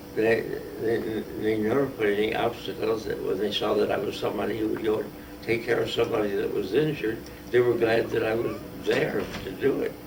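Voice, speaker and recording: A man with an American accent talks at a fairly quick pace. Room echo is audible, and there is noticeable background noise. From US Midwest, Kansas City, Missouri. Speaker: war veteran. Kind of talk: interview. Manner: halting.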